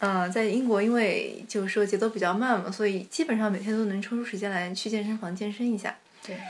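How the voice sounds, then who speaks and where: A woman at medium pitch, talking very fast with fairly even intonation over noticeable background noise. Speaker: master's graduate. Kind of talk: casual chat.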